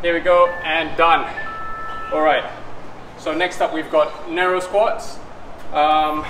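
A high-pitched man at a very slow pace with fairly even intonation, music in the background. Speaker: fitness instructor. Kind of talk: workout tutorial. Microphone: camera far.

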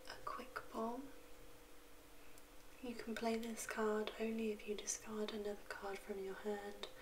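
Against noticeable background noise, a soft-spoken woman talks at a fairly slow pace with long, frequent pauses. Her intonation is monotone and flat. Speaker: card opening hobbyist. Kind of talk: soft-spoken ASMR card opening. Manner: soft-spoken, quiet. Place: home room.

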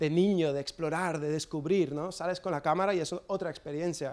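A man talks at a fairly high pitch with fairly even intonation. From US, New Jersey. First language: English (speaking Spanish). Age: 30s. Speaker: skater and photographer; guest. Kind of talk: talk with slides; talk presentation. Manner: hesitant with fillers. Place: hall. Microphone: handheld.

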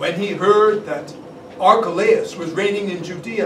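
The voice reads aloud. The reading is plain.

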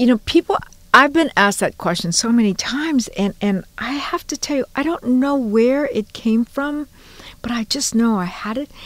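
At a moderate pace, a woman speaks with a high pitch and lively intonation. The sound is dry, with no echo. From Hawaii, Honolulu. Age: 70s. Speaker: journalist and educator. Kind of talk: interview storytelling. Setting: studio. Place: studio.

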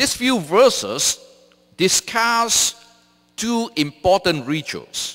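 In a quiet background, a man with a bright, sharp tone speaks at a very slow pace with very wide pitch swings. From Malaysia. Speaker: theology professor and seminary president; theology professor. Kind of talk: sermon. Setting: church. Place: church. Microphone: podium.

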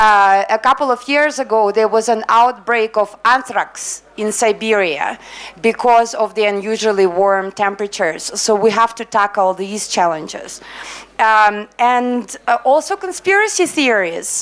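A woman at a fairly slow pace with ordinary pitch variation. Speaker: UN health program officer. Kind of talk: panel presentation. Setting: stage with audience. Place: hall. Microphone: handheld.

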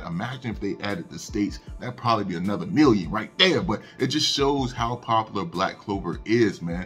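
A man talking with hardly any pauses, faint music in the background. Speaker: anime news youtuber. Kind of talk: casual news commentary. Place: home room. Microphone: studio mic.

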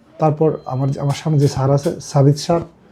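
Noticeable background noise surrounds a man whose pitch sits fairly high. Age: 30s. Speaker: patient. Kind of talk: testimony.

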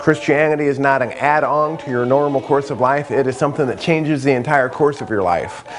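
A man talks at a fairly quick pace with ordinary pitch variation. Clear music plays in the background. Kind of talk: testimony to camera. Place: home room. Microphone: lapel.

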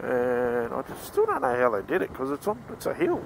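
Talking at a fairly quick pace in an Australian accent, a man comes through with a dry sound with no echo and light background noise. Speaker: motorcycle dealer and vlogger. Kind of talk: casual ride-along vlog narration. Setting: outdoors riding a motorcycle. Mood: relaxed, joking. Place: motorbike. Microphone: helmet.

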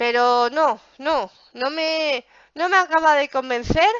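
The tone is animated. The sound is dry with no echo, over a quiet background. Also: woman. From Spain, Zaragoza (Aragon). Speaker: gaming youtuber. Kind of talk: gameplay commentary. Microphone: headset.

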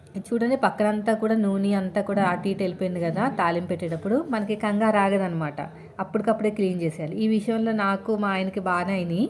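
Her voice is somewhat breathy. The woman keeps her loudness very even throughout. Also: medium pitch for a woman, fairly even intonation. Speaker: housewife cooking vlogger. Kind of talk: casual vlog talk while cooking. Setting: home kitchen.

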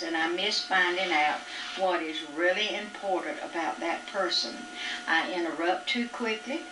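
Over noticeable background noise, a woman talks at a moderate pace with a medium pitch and lively intonation. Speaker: mother. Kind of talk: reading her own written reflections aloud. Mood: reflective, calm. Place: home room. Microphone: old recording.

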